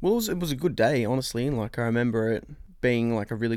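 A man with a medium pitch and an Australian accent. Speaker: host's boyfriend. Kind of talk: casual chat.

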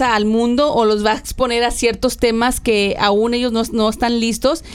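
A woman talks at a fairly slow pace in a fairly high voice. She has an ordinary speaking voice. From Mexico, rural Tamaulipas. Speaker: podcast co-host. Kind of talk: casual chat.

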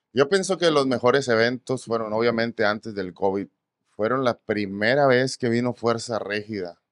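A man with an unremarkable speaking voice talks at medium pitch and a moderate pace, ordinary pitch variation, the sound dry and close with no echo. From Mexico, Ensenada, Baja California. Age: 30s. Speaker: musician, requinto guitarist. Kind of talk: casual chat. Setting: studio.

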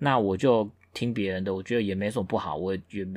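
On a very clean recording with a silent background, a man talks in an ordinary speaking voice with ordinary pitch variation. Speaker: podcast co-host. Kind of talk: casual chat.

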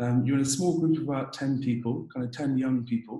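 The man's voice is somewhat breathy, with a dark, mellow tone. He moves at a fairly quick pace with ordinary pitch variation. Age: 20s. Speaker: dentist. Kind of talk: interview.

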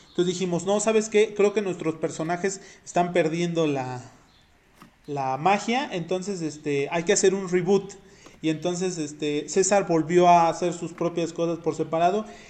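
A man with a high pitch talks at a moderate pace. His pitch variation is ordinary. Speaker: podcast co-host. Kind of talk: casual chat.

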